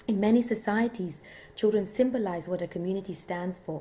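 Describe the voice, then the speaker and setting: Her voice is somewhat breathy with a dark, mellow tone, and this woman speaks at a medium pitch and a fairly quick pace with ordinary pitch variation. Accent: East African. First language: Swahili. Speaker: lecturer. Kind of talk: lecture. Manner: halting at times.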